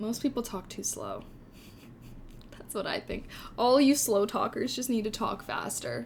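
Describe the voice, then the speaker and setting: Fairly slow speech with an American accent. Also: woman. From Southern California. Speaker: streamer. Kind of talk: casual, chatty. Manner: says "like" often.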